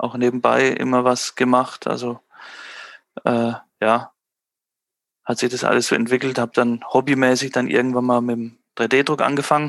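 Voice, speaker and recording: At a moderate pace and medium pitch, a man speaks with monotone, flat intonation and long, frequent pauses. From Germany, Würzburg (Franconia). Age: 30s. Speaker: small business owner. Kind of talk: casual interview.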